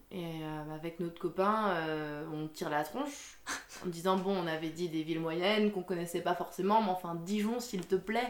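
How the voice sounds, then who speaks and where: Over noticeable background noise, a woman speaks at a fairly low pitch and a moderate pace with ordinary pitch variation. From Alsace, France. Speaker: coffee shop owner. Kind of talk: interview.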